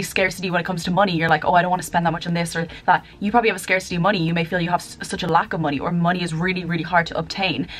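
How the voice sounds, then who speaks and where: Faint music plays in the background. A woman talks at a very fast pace in a fairly low pitch with monotone, flat intonation. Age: 20s. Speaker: YouTuber and mindset coach. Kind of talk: vlog-style direct address to camera. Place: home room. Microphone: webcam.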